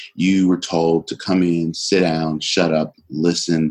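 Here a man speaks at a very deep, low pitch. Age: 40s. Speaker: motivational speaker. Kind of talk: podcast interview. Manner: animated.

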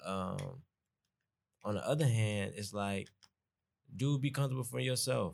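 With a moderate pace, the pitch rises and falls in an ordinary way. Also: man. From US South, Atlanta. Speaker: college student, guest. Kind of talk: casual conversation.

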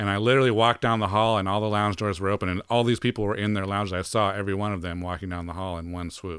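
Delivered at a very fast pace with hardly any pauses, this speech has an American accent and fairly even intonation on a very clean recording with a silent background. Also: man, fairly low pitch for a man. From Colorado. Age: 40s. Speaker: mix engineer. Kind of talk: casual chat.

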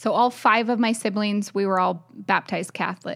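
A plain, everyday voice with an American accent, at a moderate pace with ordinary pitch variation, in a very clean recording with a silent background. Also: woman. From US South, New Orleans then elsewhere in US. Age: 30s. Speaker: podcast co-host, wife. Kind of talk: personal storytelling.

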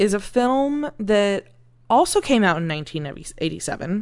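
Over a quiet background, a woman with an American accent speaks at medium pitch. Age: 30s. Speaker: podcast co-host. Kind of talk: casual chat.

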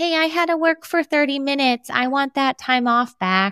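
Whiny in tone, a female-sounding put-on character voice speaks at a high pitch and a moderate pace. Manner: annoying, whiny.

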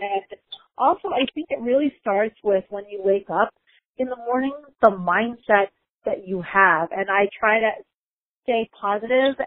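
A woman with a plain, everyday voice and a fairly high pitch speaks at a moderate pace. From US Midwest, Chicago. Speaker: lawyer and author. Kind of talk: interview.

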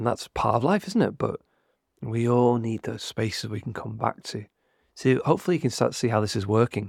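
Vocal fry runs through this fairly quick delivery with ordinary pitch variation, on a very clean recording with a silent background. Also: man, medium pitch for a man. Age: 30s. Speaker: podcast host, teacher and mentor. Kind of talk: solo motivational talk.

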